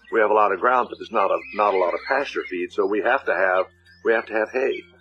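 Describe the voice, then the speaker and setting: A man speaks at a very fast pace with an American accent. Noticeable background noise runs underneath. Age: 80s+. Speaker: ranch supporter, former baseball player. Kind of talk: testimonial. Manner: halting.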